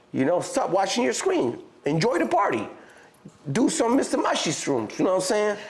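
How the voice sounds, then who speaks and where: A man's high voice in a Mexican accent, very wide pitch swings, very even loudness, moderate pace, and audible room echo. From Mexico. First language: Spanish. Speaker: rapper. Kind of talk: casual interview chat. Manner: halting, with fillers and restarts.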